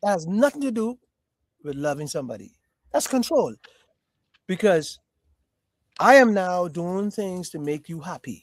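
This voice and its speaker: A man's high, animated voice at a moderate pace, with very wide pitch swings, big swings in loudness and long, frequent pauses, on a very clean recording with a silent background. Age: 60s. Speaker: podcast host. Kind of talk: casual chat.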